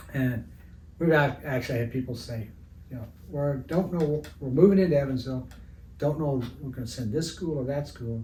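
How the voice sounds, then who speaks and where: Audible room echo carries a man with a US Midwestern accent, speaking at a fairly high pitch and a moderate pace with ordinary pitch variation. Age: 70s. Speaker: retired art teacher and sports artist. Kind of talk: interview. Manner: halting, many fillers.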